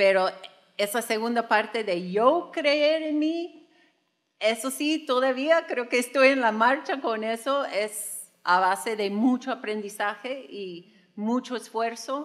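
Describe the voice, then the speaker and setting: With an American accent, a woman with a fairly high pitch and lively intonation speaks at a very slow pace against a quiet background. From United States. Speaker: podcast co-host. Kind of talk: live podcast talk. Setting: studio with live audience. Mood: warm, reflective. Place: stage. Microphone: studio mic.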